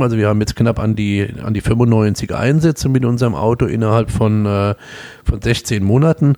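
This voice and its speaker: A man speaks at a moderate pace with a Palatine accent, his pitch sitting in the middle range. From Palatinate, Germany (Kaiserslautern). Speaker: emergency physician. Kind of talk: interview.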